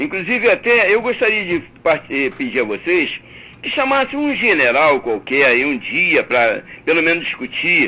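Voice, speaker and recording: A man speaks in a raised, projected voice at a moderate pace, his high pitch swinging very widely over noticeable background noise. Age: 70s. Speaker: caller. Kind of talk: heated debate. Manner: animated.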